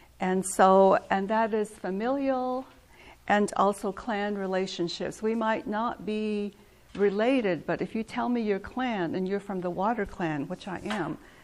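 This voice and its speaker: A woman speaks with a Navajo Nation accent at a fairly slow pace. Her pitch is medium, with ordinary pitch variation. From Navajo reservation, northern Arizona. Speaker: weaver and cultural speaker. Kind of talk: talk to a museum audience.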